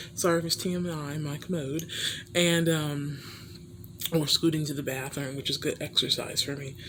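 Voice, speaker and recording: A woman is whispering. She keeps a moderate pace. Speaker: vlogger. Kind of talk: casual vlog. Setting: home hospital bed.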